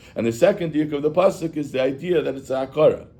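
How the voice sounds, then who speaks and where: Audible room echo surrounds a man speaking at a fairly quick pace. His voice is fairly high in pitch, with a dark, mellow tone. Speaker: rabbi teaching Chassidus. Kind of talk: lecture. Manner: halting.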